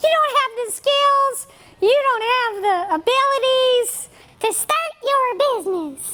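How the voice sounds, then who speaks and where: Someone uses a put-on character voice at an extremely high pitch and a fairly slow pace. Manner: silly, mocking.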